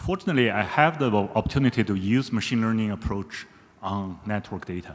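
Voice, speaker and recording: A man speaks at a fairly quick pace with medium pitch. His intonation is lively. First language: not English. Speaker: audience member asking a question. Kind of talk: audience Q&A comment.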